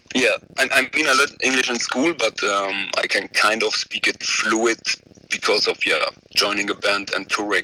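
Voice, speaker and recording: A man in a Belgian accent, recorded dry and close with no echo. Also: moderate pace. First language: not English. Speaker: metal band vocalist. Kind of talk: interview. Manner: halting.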